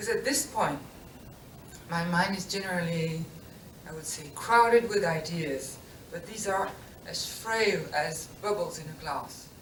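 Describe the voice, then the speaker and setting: Speaking at a fairly slow pace with long, frequent pauses, a woman with a fairly low pitch and ordinary pitch variation swings widely in loudness, amid audible room echo and noticeable background noise. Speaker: book artist and engraver. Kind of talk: lecture. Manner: halting.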